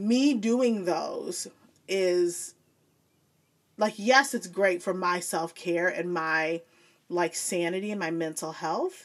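In a very clean recording with a silent background, a woman with a Midwestern US accent talks at a very slow pace, with long, frequent pauses and ordinary pitch variation. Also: medium pitch for a woman. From Joliet, Illinois. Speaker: former teacher, academic. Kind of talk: casual interview chat.

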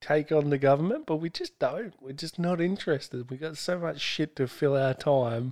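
A man speaks with an Australian accent and a fairly high pitch. The recording is very clean, with a silent background. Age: 30s. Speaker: podcast host. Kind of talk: casual chat.

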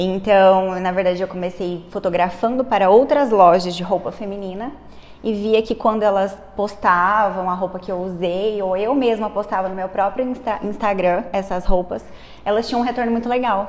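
A woman talks at medium pitch and a moderate pace in a normal speaking voice. Her intonation stays fairly even. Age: 20s. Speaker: entrepreneur, clothing store owner. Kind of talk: interview.

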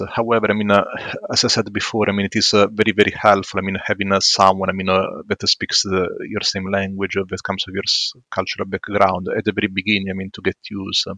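Very fast, monotone, flat speech in an Italian accent with hardly any pauses. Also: man, fairly low pitch for a man. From southern Italy, Matera. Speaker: psychologist. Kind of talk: casual interview. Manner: halting, many fillers.

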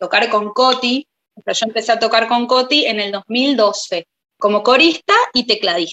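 A woman is speaking. Her pitch is fairly high and her pace fairly slow. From Buenos Aires, Argentina. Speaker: singer-songwriter and pianist. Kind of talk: interview.

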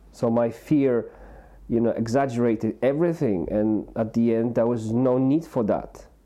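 At a moderate pace, a man speaks at a medium pitch with ordinary pitch variation and very even loudness. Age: 40s. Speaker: podcast co-host, support worker. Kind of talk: casual chat. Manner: rambling, hesitant with fillers.

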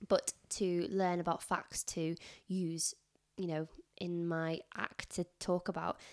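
Very slowly, a woman speaks with a northern English accent and monotone, flat intonation. The recording is very clean, with a silent background. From northern England. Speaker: teaching assistant. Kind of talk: casual chat. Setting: in person at home.

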